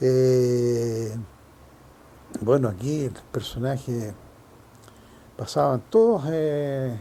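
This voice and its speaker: The tone is dark and mellow, in a Chilean accent. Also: man. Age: 70s. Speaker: longtime neighbourhood resident. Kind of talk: oral history interview answer.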